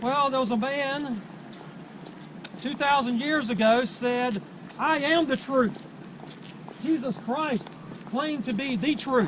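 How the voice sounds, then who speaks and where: Over noticeable background noise, a man with an extremely high pitch talks at a very slow pace, leaving long, frequent pauses. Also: ordinary pitch variation. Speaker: street preacher. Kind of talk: loud outdoor street preaching to a campus crowd. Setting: outdoors on a university campus.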